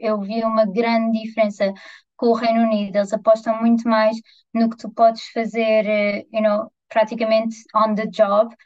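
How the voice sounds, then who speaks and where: A somewhat breathy woman's voice, fairly high in pitch, at a moderate pace with monotone, flat intonation. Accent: European Portuguese. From Portugal, Vila Franca de Xira. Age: 20s. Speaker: journalist and radio reporter. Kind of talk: casual chat.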